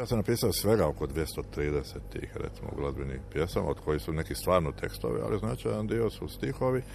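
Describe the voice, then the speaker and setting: A man talks at a fairly quick pace in a very deep, low voice. His pitch swings very widely, and there is noticeable background noise. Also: hardly any pauses. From Croatia, Dalmatia (Šibenik). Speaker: lyricist and shipbuilding engineer. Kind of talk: interview. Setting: outdoors on a town square.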